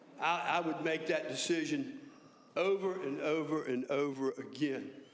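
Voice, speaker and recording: A man speaks at a fairly slow pace with audible room echo. Noticeable background noise runs underneath. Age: 70s. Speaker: county official. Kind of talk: speech at a public meeting. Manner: halting, repeats words.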